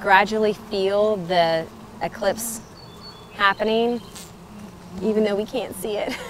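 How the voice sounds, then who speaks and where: A woman speaks at a fairly slow pace with fairly even intonation, her dry voice carrying no echo over light background noise. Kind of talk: casual vlog chat. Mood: amused, calm wonder. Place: garden.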